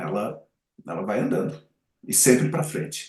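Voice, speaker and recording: A somewhat breathy man with lively intonation at a fairly slow pace. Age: 60s. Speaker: advertising and marketing commentator. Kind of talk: podcast interview. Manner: halting, many self-corrections.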